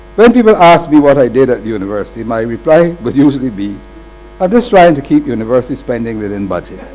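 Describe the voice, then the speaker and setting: Noticeable background noise accompanies a man talking at a very fast pace with lively intonation. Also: medium pitch for a man. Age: 80s+. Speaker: retired university accountant, honoree. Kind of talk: ceremonial acceptance speech. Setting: ceremony with audience. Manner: formal.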